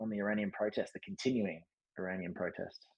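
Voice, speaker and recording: Speaking with an Australian accent, a man has a medium-pitched voice. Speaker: podcast host, former diplomat. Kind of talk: casual discussion. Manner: hesitant, many fillers.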